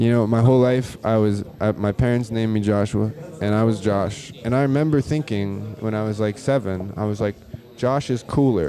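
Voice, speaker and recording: Over noticeable background noise, a man talks at a moderate pace with a fairly low pitch and ordinary pitch variation. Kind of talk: casual chat. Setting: bar. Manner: animated.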